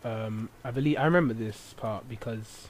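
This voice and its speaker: The speaker is a man. His pitch is medium. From England. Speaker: gaming video commentator. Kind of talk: let's play commentary. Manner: hesitant, many fillers.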